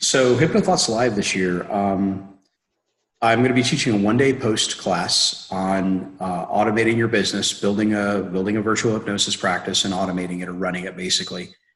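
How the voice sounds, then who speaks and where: Fairly quick delivery with audible room echo. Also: man, fairly low pitch for a man. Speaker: hypnosis business trainer. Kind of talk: webinar guest talk. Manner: fast; casual, energetic.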